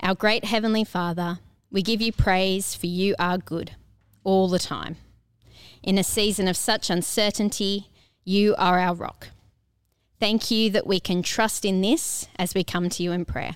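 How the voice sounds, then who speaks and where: A woman with an ordinary speaking voice talks at a fairly slow pace, medium in pitch with fairly even intonation. The recording is very clean, with a silent background. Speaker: church service host leading prayer. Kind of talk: prayer.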